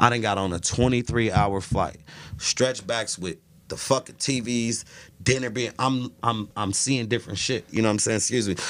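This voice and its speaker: A man with an American accent and an ordinary speaking voice, medium pitch and moderate pace. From Chicago, South Side. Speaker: celebrity stylist. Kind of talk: casual chat.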